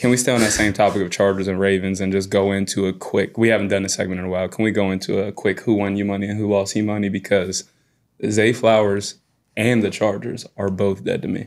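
In a fairly low voice, a man rattles along at a very fast pace with monotone, flat intonation. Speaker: podcast co-host. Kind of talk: casual sports podcast banter. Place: studio. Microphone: studio mic.

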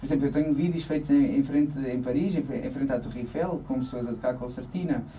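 In an unremarkable speaking voice, the speaker talks at a fairly quick pace with ordinary pitch variation over light background noise. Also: man. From Portugal, Alentejo coast (Santiago do Cacém). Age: 30s. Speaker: accordion player and dance-band musician. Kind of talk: radio interview. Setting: radio studio. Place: studio.

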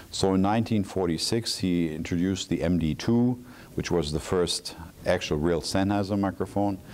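Here a man talks at a moderate pace. His pitch is very deep and low. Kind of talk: interview answer. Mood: calm, proud storytelling. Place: hall. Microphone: lapel.

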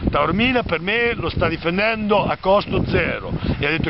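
Dry sound with no echo under loud background noise. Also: man. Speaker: vlogger. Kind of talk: sarcastic political commentary. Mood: ironic, mocking. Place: open country. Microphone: phone near.

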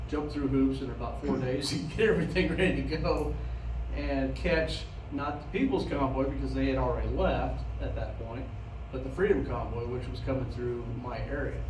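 Noticeable background noise sits behind a man who keeps a moderate pace. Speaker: guest. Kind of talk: informal talk to an audience. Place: meeting room. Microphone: handheld.

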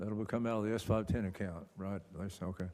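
In a dark, mellow tone, a man speaks at a fairly low pitch and fairly quick pace with fairly even intonation. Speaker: council chairman. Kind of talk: council meeting chairing. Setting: council meeting room with audience and microphones.

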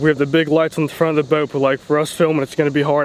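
A man rattles off words at a very fast pace in a monotone, flat intonation, with a dry sound with no echo and light background noise. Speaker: vlogger filming himself. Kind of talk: casual vlog chat. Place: boat. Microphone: phone near.

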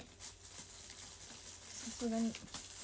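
Light background noise is present. The speaker is a woman. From Japan, Toyama; Japan. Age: 20s. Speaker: idol singer; idol livestreamer. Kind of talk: solo livestream chat with viewers. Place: home room. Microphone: phone near.

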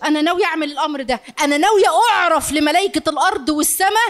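Against a quiet background, a woman with an Egyptian accent speaks at a moderate pace in an animated tone with lively intonation. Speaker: family counselor and lecturer; lecturer. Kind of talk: live lecture to audience. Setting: lecture hall with audience. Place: hall. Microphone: handheld.

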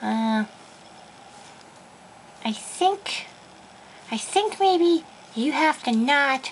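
Clear background noise sits under a cartoonish character voice that sounds female. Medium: puppet.

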